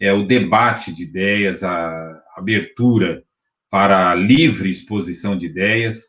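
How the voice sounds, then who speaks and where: A man speaks in an ordinary speaking voice, fairly low in pitch with ordinary pitch variation. The background is quiet. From Brazil, São Paulo city. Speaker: university professor and spiritist movement director. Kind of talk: interview. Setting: live-streamed online interview.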